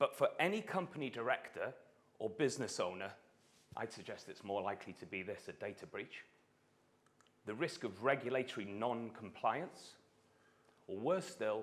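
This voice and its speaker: A man with a north Welsh accent speaks at a moderate pace and medium pitch. His intonation is lively, and his pauses are long and frequent. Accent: north Welsh (Gog). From Wales, Anglesey (north Wales). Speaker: startup founder. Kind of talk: startup pitch. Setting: stage with audience at stadium.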